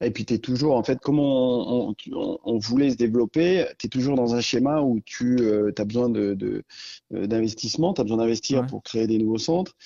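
This man's pitch sits in the medium range and varies in an ordinary way. He speaks at a moderate pace. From Auvergne, France. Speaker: entrepreneur, founder of five-a-side football centres. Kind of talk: interview. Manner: halting with frequent repetitions.

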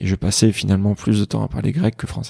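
A dark, mellow tone moves at a fairly quick pace. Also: man. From France, partly raised in Greece. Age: 30s. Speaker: emergency doctor and app creator. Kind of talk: casual interview. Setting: at the host's home.

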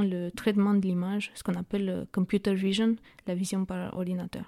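A woman with a Romanian accent speaks in a dark, mellow tone at medium pitch, fairly quickly and with monotone, flat intonation. The recording is very clean, with a silent background and a dry, close sound with no echo. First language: Romanian (speaking French). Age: 30s. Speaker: startup co-founder. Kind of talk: interview. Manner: halting.

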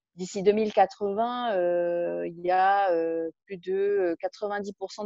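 A woman speaks at a medium pitch in a flat monotone with hardly any pauses. Her loudness swings a lot. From Tahiti, French Polynesia. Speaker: interviewee. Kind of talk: interview testimony. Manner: hesitant, many fillers.

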